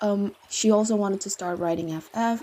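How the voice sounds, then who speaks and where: At a moderate pace, a woman with a medium-pitched voice speaks with lively intonation. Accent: non-native. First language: not English. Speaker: fanfiction writer and video creator. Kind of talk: Q&A video, answering viewer questions. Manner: casual, with fillers and self-corrections.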